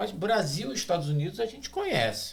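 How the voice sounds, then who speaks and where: Here is a man with an unremarkable speaking voice. He talks at a moderate pace with lively intonation. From Brazil. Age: 60s. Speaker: pastor. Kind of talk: podcast discussion. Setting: studio.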